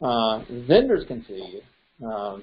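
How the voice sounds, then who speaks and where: This is a man talking. His pitch sits in the medium range. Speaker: real estate instructor. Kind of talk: lecture. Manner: fast; halting, many fillers.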